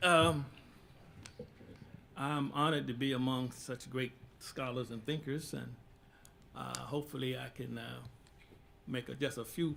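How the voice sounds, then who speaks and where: Long, frequent pauses break up fairly slow speech, with audible room echo around it. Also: man. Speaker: imam. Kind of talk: panel discussion. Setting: stage with audience.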